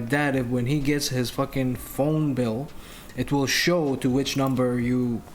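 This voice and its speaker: A man's fairly high-pitched voice at a fairly slow pace, with noticeable background noise and audible room echo. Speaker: streamer / podcast host. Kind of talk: casual chat.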